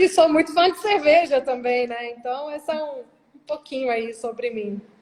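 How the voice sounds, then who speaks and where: Her high-pitched voice moves at a moderate pace, with lively intonation and big swings in loudness. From Brazil, Rondônia then Minas Gerais. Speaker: corporate operations director. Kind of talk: interview. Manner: casual, conversational.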